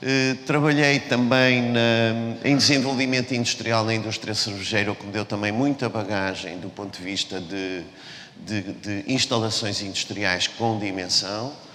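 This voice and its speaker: Noticeable background noise sits behind a man talking at a fairly slow pace with ordinary pitch variation. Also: medium pitch for a man. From Portugal, Porto. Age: 60s. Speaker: business executive. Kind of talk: talk to students. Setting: stage with audience. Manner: halting, many repetitions and fillers.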